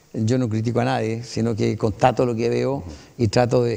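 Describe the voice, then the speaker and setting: A man speaks in a fairly low voice with a dark, mellow tone. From Chile. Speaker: municipal council candidate, retired pilot. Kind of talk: interview. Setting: TV studio. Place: studio. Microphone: lapel.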